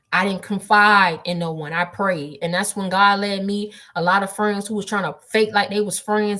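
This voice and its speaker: Loud and bright with a sharp tone, a woman speaks at a medium pitch. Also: hardly any pauses. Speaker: spiritual livestreamer. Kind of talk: livestream testimony. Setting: livestream from desktop. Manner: loud, projected; emphatic.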